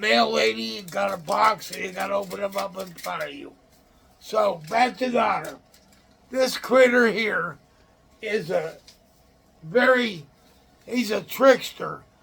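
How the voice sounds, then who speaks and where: A man with an American accent, fairly slow pace and ordinary pitch variation, against noticeable background noise. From Illinois. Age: 60s. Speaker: outdoors channel host. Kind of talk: casual show-and-tell talk. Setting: room in a nursing home. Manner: halting.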